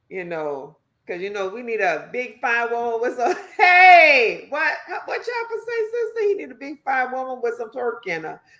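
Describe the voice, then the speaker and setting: A woman speaks at a moderate pace in a high voice with very wide pitch swings. Audible room echo surrounds her. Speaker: podcast co-host. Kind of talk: casual chat. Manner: animated.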